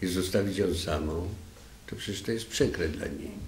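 Through audible room echo and light background noise, a man with a very deep, low pitch speaks with fairly even intonation. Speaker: widower of hospice patient. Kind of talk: testimony. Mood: somber, reflective. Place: meeting room. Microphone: podium.

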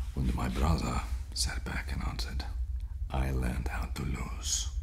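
At a fairly slow pace, a man speaks with a very deep, low pitch and fairly even intonation. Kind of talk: dramatic monologue in character. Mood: slow, teasing, hesitant delivery. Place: studio.

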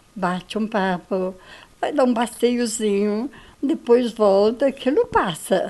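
A woman's fairly high voice with a dark, mellow tone, at a very slow pace. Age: 70s. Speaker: interviewee, local resident. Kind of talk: interview answer. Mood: cheerful, warm. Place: home room. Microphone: handheld.

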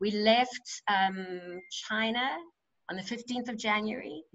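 Against a quiet background, a woman talks in a South African accent with ordinary pitch variation. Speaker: musical theatre actress. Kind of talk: casual chat. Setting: video call. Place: home room. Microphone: video call.

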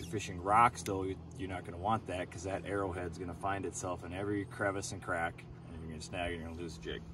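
Over noticeable background noise, a man talks at a very fast pace in a very deep, low voice that is somewhat breathy, with a dry sound and no echo. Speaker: fishing show host. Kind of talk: tutorial. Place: boat.

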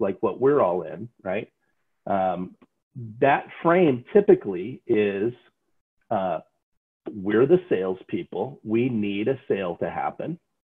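Against a quiet background, a man speaks at a very slow pace with long, frequent pauses. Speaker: sales trainer. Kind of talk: lecture. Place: home room. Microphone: video call.

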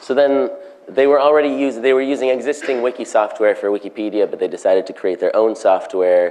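Lively intonation from a man at medium pitch and a moderate pace, with noticeable background noise. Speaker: conference speaker. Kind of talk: conference talk. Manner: halting, many fillers.

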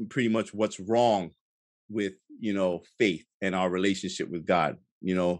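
A man's moderate-paced speech shows ordinary pitch variation over a quiet background. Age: 40s. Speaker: film director, guest; interview guest. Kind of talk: casual chat; interview answer. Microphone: studio mic.

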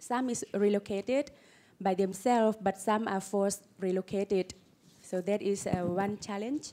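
A woman speaks at a medium pitch in a dark, mellow tone. Her intonation is fairly even, and her pace is moderate. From Laos. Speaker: panelist. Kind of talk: panel discussion. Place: hall. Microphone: handheld.

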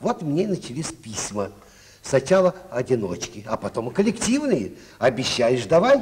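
A man with a fairly high pitch speaks fairly slowly, swinging his pitch very widely. Light background noise is present. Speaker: film actor interviewed on TV. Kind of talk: interview answer, anecdotal. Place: studio. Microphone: old recording.

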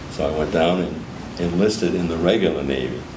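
Against noticeable background noise, a man with a very deep, low voice talks at a moderate pace with fairly even intonation. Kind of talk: interview answer. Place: meeting room.

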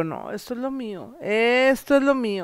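Against a quiet background, the voice moves at a fairly slow pace with ordinary pitch variation, the sound dry with no echo. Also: woman. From Coahuila, Mexico. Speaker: comedian. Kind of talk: casual interview. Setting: at her home. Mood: relaxed, chatty, joking. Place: home room. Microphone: handheld.

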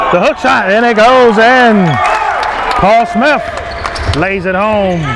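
Dry sound with no echo, under loud background noise. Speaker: live basketball play-by-play commentator. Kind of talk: live sports commentary. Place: hall.

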